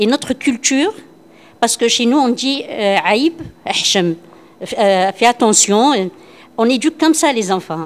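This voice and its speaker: With long, frequent pauses, a woman speaks at a fairly slow pace in a high pitch, her intonation lively and her loudness very even. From Algeria, Constantine. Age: 60s. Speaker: workshop participant, former school supervisor. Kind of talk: group discussion. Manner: hesitant, repetitive.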